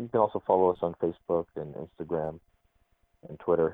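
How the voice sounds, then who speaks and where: Fairly even in intonation, a man speaks with a very deep, low pitch and an American accent. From Arizona, US. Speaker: Islamic college president. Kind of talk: interview. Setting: phone call.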